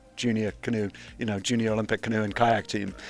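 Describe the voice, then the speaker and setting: Music plays in the background behind a man. His tone is relaxed and his intonation fairly even. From Wales. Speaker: kayak coach and former Olympic athlete. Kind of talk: casual interview. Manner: relaxed with frequent fillers.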